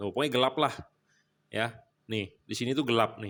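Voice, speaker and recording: Speaking at a very fast pace with a Jakarta accent, a man holds a medium pitch with ordinary pitch variation on a very clean recording with a silent background. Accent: Jakarta speech style, can sound blunt. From Jakarta, Indonesia. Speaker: LED bulb seller and reviewer. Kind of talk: product review demonstration. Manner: casual, blunt, repetitive.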